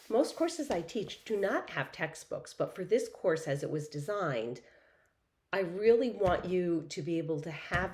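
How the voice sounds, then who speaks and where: Amid audible room echo, a woman speaks at a fairly slow pace and fairly low pitch. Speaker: professor. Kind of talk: lecture.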